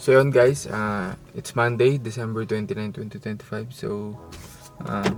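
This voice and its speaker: A man's fairly low-pitched voice at a fairly quick pace with fairly even intonation, over noticeable background noise. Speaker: vlogger. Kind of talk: casual vlog.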